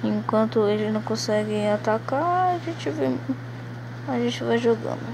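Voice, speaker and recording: A woman's very deep, low voice, quiet and monotone with flat intonation, at a fairly slow pace over noticeable background noise. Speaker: gaming youtuber. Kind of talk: gameplay commentary. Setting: at home in a hammock. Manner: speaking quietly.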